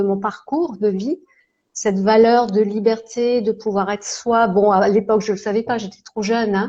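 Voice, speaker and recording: Speaking at a fairly slow pace, a woman holds a fairly high pitch with fairly even intonation. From France, Alsace (Strasbourg). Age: 60s. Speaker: holistic therapist and coach. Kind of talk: live interview, casual chat. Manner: hesitant, many fillers.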